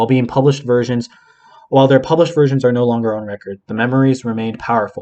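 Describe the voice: This plain reading aloud keeps a fairly even intonation.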